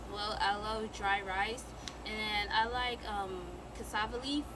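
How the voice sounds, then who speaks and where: A woman talks at a very slow pace, medium in pitch, with fairly even intonation and long, frequent pauses. Noticeable background noise and audible room echo fill the recording. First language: Mende. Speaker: YouTuber. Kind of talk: casual chat.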